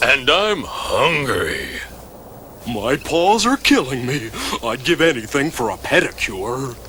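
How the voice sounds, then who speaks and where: Over clear background noise, a man uses a cartoonish character voice at a fairly high pitch and a fairly slow pace. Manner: stuttering.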